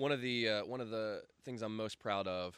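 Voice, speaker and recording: A fairly quick pace with a Southern US accent. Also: man. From US South, Greenville, South Carolina. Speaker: video production company owner. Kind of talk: casual interview.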